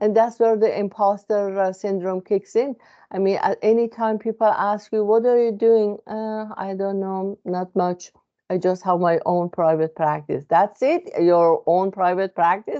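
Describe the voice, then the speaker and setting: At a fairly slow pace, a woman with a non-native accent speaks in a medium pitch with ordinary pitch variation. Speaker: psychotherapist. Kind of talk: informal educational talk. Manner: hesitant with many fillers.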